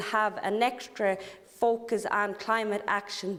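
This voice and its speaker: In an Irish accent, a woman talks at a fairly slow pace and a medium pitch, with fairly even intonation. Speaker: politician. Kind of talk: parliamentary speech. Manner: hesitant, many fillers.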